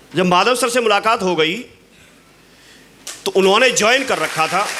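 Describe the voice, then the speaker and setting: A raised, projected voice from a man at a high pitch, with noticeable background noise. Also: ordinary pitch variation, moderate pace, very even loudness. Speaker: motivational speaker at business event. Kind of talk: motivational talk.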